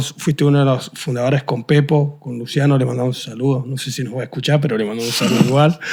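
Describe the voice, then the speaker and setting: The recording is very clean, with a silent background. A man talks in a dark, mellow tone. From Argentina, San Juan. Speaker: podcast host. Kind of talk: interview.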